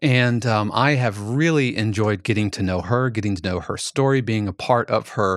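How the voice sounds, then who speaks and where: In a very clean recording with a silent background and a dry, close sound with no echo, a man speaks at medium pitch and a moderate pace with ordinary pitch variation. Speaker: podcast producer and co-host. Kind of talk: casual chat. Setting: studio. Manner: cheerful.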